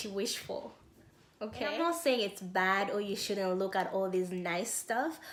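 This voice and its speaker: A woman's fairly high voice with audible room echo. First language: not English. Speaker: self-help YouTuber. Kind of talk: motivational talk.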